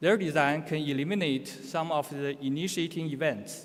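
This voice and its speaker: A man speaks at a moderate pace in a Chinese accent. His voice is fairly high-pitched. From China. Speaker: conference speaker on nuclear safety. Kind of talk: conference presentation. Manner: halting, with self-corrections.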